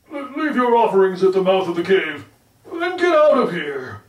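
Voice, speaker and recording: Someone uses a put-on character voice at a middle pitch. There is a slight echo. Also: moderate pace. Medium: read story. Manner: hesitant, stammering.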